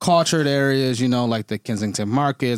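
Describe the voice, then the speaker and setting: A man with an American accent at medium pitch and a fairly quick pace, with ordinary pitch variation and a dry, close sound with no echo, on a very clean recording with a silent background. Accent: Detroit American, noticeable to Torontonians. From Detroit, US. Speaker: podcast host. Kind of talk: casual interview chat.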